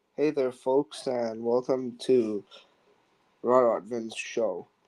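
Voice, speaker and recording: A man speaks quietly and very slowly at medium pitch. His tone is dark and mellow, with fairly even intonation. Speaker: radio show host. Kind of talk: casual radio talk.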